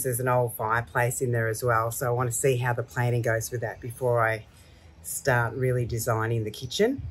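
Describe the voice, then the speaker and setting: A somewhat breathy woman talks at a fairly quick pace. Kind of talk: casual vlog chat. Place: garden. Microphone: camera far.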